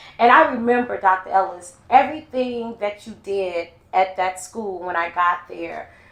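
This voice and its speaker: A woman with an American accent speaks at a medium pitch and a moderate pace, with ordinary pitch variation and big swings in loudness, over noticeable background noise. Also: hardly any pauses. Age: 50s. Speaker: podcast host and educator. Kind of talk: casual interview chat.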